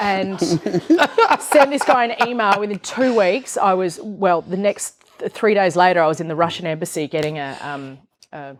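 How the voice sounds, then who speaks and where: A woman speaks with an Australian accent at a moderate pace. Her intonation is lively. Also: medium pitch for a woman, hardly any pauses. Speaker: entrepreneur. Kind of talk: interview on stage. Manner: animated.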